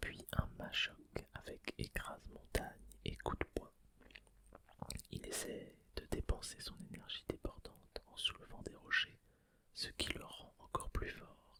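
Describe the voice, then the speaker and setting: A man whispering at a very slow pace, with long, frequent pauses and big swings in loudness. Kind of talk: ASMR card opening. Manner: whispered.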